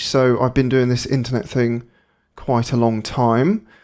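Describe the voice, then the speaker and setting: At a moderate pace, a man with a British accent speaks in a medium pitch. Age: 30s. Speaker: digital marketing agency owner. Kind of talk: webinar presentation. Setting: live webinar. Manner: casual, with fillers.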